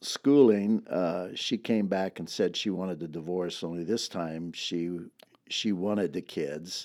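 A man with an American accent and a dark, mellow tone speaks at a fairly slow pace on a very clean recording with a silent background. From US, California Central Valley. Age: 70s. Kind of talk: testimony.

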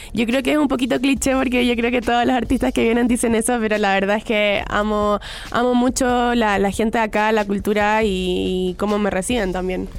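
A woman with a plain, everyday voice, fairly high-pitched with ordinary pitch variation, fairly quick, with hardly any pauses and very even loudness. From Chile. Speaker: pop singer. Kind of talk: interview. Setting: radio studio.

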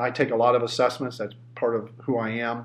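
A man with a Midwestern American accent speaks at a moderate pace against noticeable background noise. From southern Ohio. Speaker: leadership coach and trainer. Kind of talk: interview.

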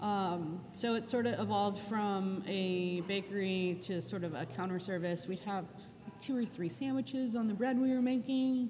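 A woman with an American accent speaks with lively intonation. Audible room echo surrounds her voice. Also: medium pitch for a woman, moderate pace. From Charleston, South Carolina. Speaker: pastry chef and restaurant owner. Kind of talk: interview.

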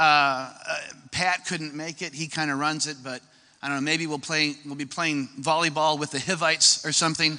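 This man has a fairly high pitch and a bright, sharp tone, talking at a moderate pace in monotone, flat intonation with an American accent. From US Midwest. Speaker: church ministry leader. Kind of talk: testimony. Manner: joking.

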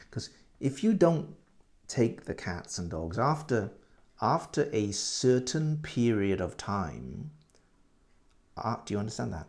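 A man with a British accent at a medium pitch, very slow, with long, frequent pauses and very wide pitch swings. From UK. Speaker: English teacher. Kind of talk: language lesson podcast. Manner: halting, many repeats and fillers; slow, clear for learners.

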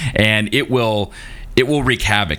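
Noticeable background noise sits behind a man whose fairly low voice shows ordinary pitch variation. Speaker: science podcast host. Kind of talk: casual chat. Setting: remote recording, iPad and preamp. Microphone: new microphone, sounds far away.

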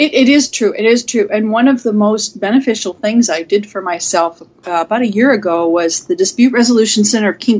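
A woman speaks in a plain, everyday voice with an American accent, fairly high in pitch, at a moderate pace and with ordinary pitch variation. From US Pacific Northwest, Seattle. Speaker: mediator. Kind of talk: interview. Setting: call.

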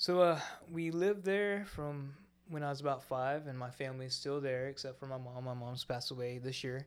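A man with an American accent and a normal speaking voice talks at a fairly quick pace, his fairly high pitch showing ordinary variation. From Florida Panhandle, US South. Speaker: church member sharing testimony. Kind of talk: testimony. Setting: studio with microphones.

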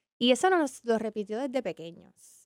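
Recorded very cleanly with a silent background and a dry, close sound free of echo, a woman talks at a moderate pace in an ordinary speaking voice with fairly high pitch. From Puerto Rico, San Juan. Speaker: business ecosystem professional. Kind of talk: interview.

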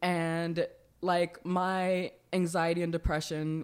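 With a plain, everyday voice, a woman speaks at a fairly low pitch with fairly even intonation in a very clean recording with a silent background. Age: 20s. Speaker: comedian. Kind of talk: casual chat.

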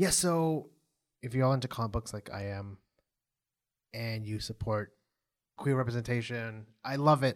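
Delivered at a moderate pace with ordinary pitch variation and long, frequent pauses, the speech sits on a very clean recording with a silent background. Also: man, medium pitch for a man. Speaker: podcast host recapping a TV show. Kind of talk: casual chat recap. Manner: uses many filler words like yeah.

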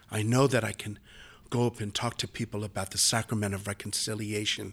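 On a very clean recording with a silent background, a man with a plain, everyday voice speaks at a fairly low pitch. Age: 50s. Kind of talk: interview.

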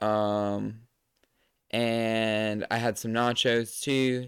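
A man speaks at a medium pitch with a Southern US accent. The recording is very clean with a silent background, and the sound is dry and close with no echo. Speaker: podcaster. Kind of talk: casual solo monologue. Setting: home recording setup. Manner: casual, rambling; loud talker.

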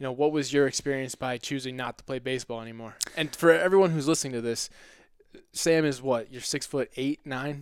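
A man's plain, everyday voice, medium in pitch with ordinary pitch variation, fairly quick in pace and with big swings in loudness, on a very clean recording with a silent background. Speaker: podcast host, brain injury survivor. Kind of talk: casual interview.

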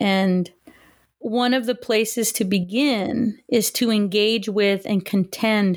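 In a plain, everyday voice, a woman with an American accent speaks at a fairly high pitch with ordinary pitch variation. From Southern California, Los Angeles area. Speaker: history professor. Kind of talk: interview.

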